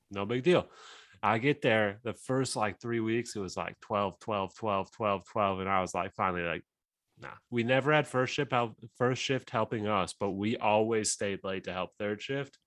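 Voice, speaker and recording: Using a normal speaking voice, a man talks at a fairly low pitch. His pace is moderate and his pitch varies in an ordinary way. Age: 30s. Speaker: sports podcast guest, football fan. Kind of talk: casual chat.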